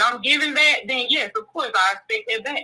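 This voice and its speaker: A woman speaks in a high voice. She raises and projects it. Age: 30s. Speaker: caller. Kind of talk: call-in discussion. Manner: hesitant, many fillers.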